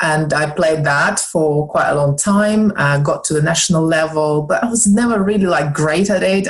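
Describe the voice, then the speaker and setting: Ordinary pitch variation and a moderate pace mark this speech in a Russian accent, with audible room echo. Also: woman. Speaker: snooker club owner and wellness entrepreneur. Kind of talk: podcast interview. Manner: hesitant, many fillers.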